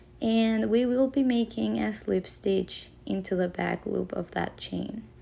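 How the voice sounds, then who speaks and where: A woman speaks with a non-native accent. Her pace is fairly slow. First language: not English. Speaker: crochet tutorial maker. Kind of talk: tutorial. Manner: hesitant, with fillers.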